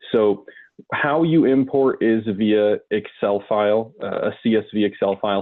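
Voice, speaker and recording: The voice belongs to a man, fairly low in pitch. His intonation stays fairly even. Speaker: software trainer. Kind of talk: tutorial. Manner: fast.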